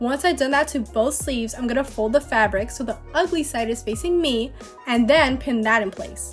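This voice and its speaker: Speech at a moderate pace, with music in the background. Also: woman. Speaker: DIY costume maker / vlogger. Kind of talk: DIY tutorial voiceover. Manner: casual.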